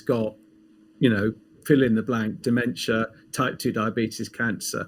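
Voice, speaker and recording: At a moderate rate, a male speaker talks in a British accent. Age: 60s. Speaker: pharmacist and health coach. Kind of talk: casual interview.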